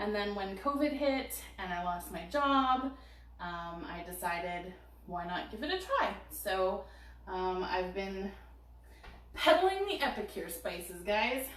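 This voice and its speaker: A woman speaks at a very slow pace with lively intonation. Room echo is audible. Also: medium pitch for a woman. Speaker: cooking product consultant. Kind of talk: product demo on live stream.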